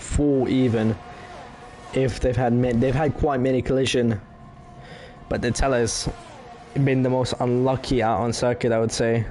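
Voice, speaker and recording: A man's monotone, flat delivery at a moderate pace, with very even loudness, long, frequent pauses and noticeable background noise. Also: medium pitch for a man. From France. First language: French. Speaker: sim racing commentator. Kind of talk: live commentary.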